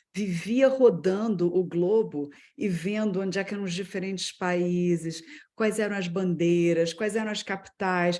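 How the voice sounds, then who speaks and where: A woman with a plain, everyday voice, medium in pitch. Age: 50s. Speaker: business executive. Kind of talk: personal career story in a webinar talk.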